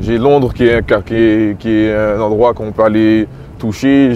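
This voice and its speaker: A man's voice comes through over noticeable background noise. His intonation stays fairly even, and his pitch sits in the middle range. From Quebec, Montreal (Little Burgundy). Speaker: rapper. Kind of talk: casual interview walking tour.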